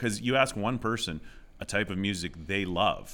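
Speaking with a Canadian Prairie accent, a man has a fairly low pitch and a bright, sharp tone. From Southwest Saskatchewan, Canada. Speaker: high school English teacher. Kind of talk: casual interview chat.

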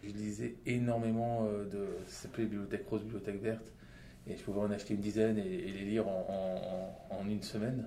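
A man talks fairly quickly at a fairly low pitch with fairly even intonation. Audible room echo and noticeable background noise surround him. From Lebanon and Saudi Arabia, then France. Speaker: entrepreneur. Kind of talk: interview. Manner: halting, with many fillers.

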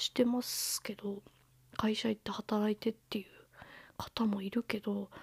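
The sound is dry and close with no echo as a woman speaks in a relaxed, somewhat breathy tone. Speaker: podcast host, bookseller. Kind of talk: casual solo talk. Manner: relaxed, with frequent fillers.

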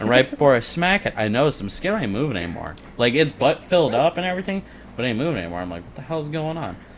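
Very fast and fairly high in pitch, a man's voice moves through very wide pitch swings. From Illinois. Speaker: podcast guest. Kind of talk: casual chat.

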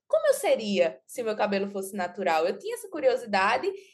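Lively intonation and a moderate pace in a woman's normal speaking voice, pitched fairly high. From Pernambuco interior, Brazil. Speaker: journalist and content creator. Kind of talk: podcast interview.

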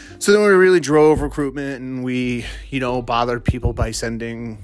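A man with an American accent and lively intonation, music in the background. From Massachusetts. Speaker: podcast host. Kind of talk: casual monologue.

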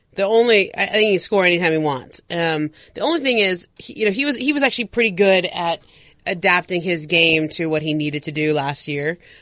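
Her voice is fairly low and a plain, everyday voice, and the woman moves at a fairly quick pace. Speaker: sports journalist and podcast producer. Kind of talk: casual chat. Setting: studio.

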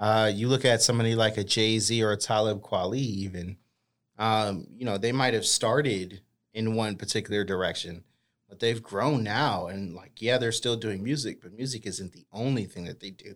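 On a very clean recording with a silent background, a man speaks in a plain, everyday voice at a moderate pace, his pitch fairly low, his intonation fairly even, and his loudness swinging widely. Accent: American. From Boston, US. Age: 30s. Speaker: educator and hip-hop artist. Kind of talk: casual interview. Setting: studio.

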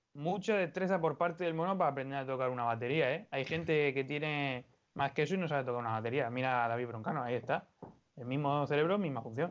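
His pitch moves in an ordinary way. The man talks very fast. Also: fairly high pitch for a man. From Spain, Orihuela (Alicante). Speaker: podcast co-host. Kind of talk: casual chat.

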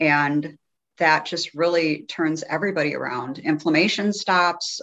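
Against a quiet background, a woman speaks in a normal speaking voice, fairly low in pitch, with fairly even intonation. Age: 60s. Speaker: health coach. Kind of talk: casual chat.

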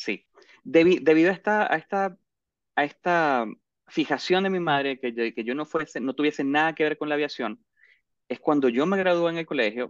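Moderately paced, a man with a fairly high pitch speaks with ordinary pitch variation. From Venezuela, Maracaibo. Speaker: airline pilot. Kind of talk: interview.

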